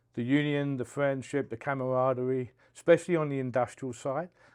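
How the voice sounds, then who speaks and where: A man with a London accent talks at a very fast pace with fairly even intonation. The background is quiet. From South East London, England. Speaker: union business agent, steamfitter. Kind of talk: podcast interview. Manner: halting.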